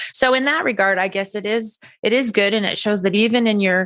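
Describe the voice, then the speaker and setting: A woman talks with an unremarkable speaking voice, keeping ordinary pitch variation and a moderate pace. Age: 60s. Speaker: cosmetic surgery patient. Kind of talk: interview.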